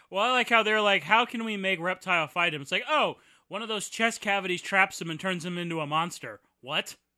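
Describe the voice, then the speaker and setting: On a very clean recording with a silent background, a man with a high voice projects loudly in an animated tone at a fairly quick pace with ordinary pitch variation. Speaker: movie commentary host. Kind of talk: casual comedic movie riffing. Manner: jokey, animated, sarcastic.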